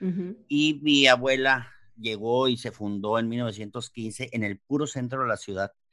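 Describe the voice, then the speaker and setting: Medium in pitch, a man speaks at a fairly slow pace in a bright, sharp tone with ordinary pitch variation. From Mexicali, Baja California, Mexico. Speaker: chef. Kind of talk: interview. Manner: halting.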